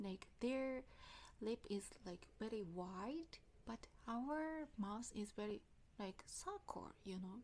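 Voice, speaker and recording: With a Japanese accent, the speaker goes at a very slow pace, with lively intonation and long, frequent pauses. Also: woman, fairly high pitch for a woman. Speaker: English learner vlogger. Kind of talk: casual vlog talk. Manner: halting.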